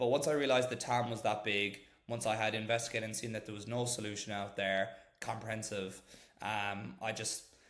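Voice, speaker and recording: A man with an Irish accent talks at a fairly quick pace, with audible room echo around him. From Ireland. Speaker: startup founder, former corporate lawyer. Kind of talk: podcast interview.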